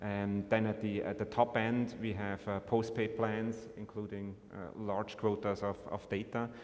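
Speaking at a moderate pace, a man keeps a fairly low pitch and a monotone, flat intonation. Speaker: telecom operator executive. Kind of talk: panel discussion. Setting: conference stage with audience. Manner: repeats words, halting. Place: stage. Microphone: podium.

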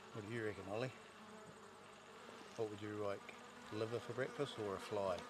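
A man speaks at a fairly quick pace with a dry sound and no echo. Noticeable background noise runs behind him. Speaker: hunting guide. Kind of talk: casual hunting commentary to camera. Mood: pleased, relaxed, joking. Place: open country.

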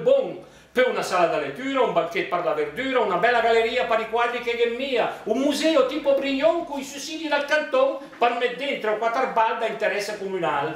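Lively intonation at a fairly quick pace, with audible room echo. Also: man. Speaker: dialect poet. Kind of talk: poetry reading. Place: hall. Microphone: camera far.

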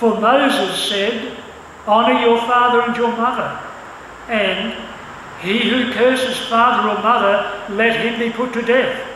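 A man's raised, projected voice at an extremely high pitch, flat and monotone, at a fairly slow pace over noticeable background noise. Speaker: church service announcer and scripture reader. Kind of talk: announcements and scripture reading. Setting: church.

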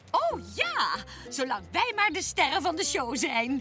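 Over clear music in the background, a woman uses a cartoonish character voice at a high pitch. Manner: gleeful, theatrical villainy.

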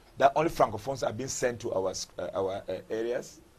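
The voice belongs to a man and sounds somewhat breathy. He speaks at a moderate pace. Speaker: member of parliament. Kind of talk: TV interview.

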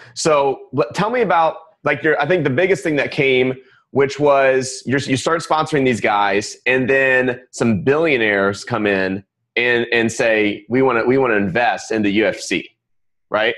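This man speaks at a medium pitch and a fairly slow pace, his tone excited and energetic and his intonation lively. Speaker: podcast host. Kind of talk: casual interview. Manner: excited, energetic. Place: studio.

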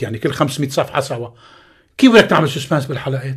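A man with a Lebanese accent talks with very wide pitch swings. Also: quiet background. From Lebanon. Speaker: actor. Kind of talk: radio interview. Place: studio. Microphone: studio mic.

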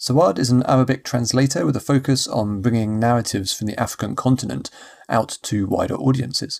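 A man talks fairly quickly, his medium-pitched voice showing ordinary variation in pitch. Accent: British. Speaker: podcast host. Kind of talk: scripted podcast intro and outro.

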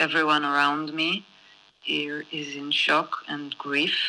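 A woman speaks with a very deep, low pitch. Her tone is bright and sharp, and her pace is very slow. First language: Hebrew (speaking Japanese). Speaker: film director. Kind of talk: prepared statement and Q&A.

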